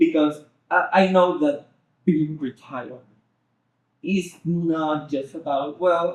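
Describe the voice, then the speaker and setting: With a Spanish accent, a man speaks at a fairly high pitch. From Venezuela. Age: young. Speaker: Spanish teacher and translator. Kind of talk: interview answer.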